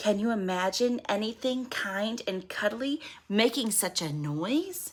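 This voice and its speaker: Using a put-on character voice, a woman talks at a fairly slow pace in a medium pitch. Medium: read story. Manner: self-important.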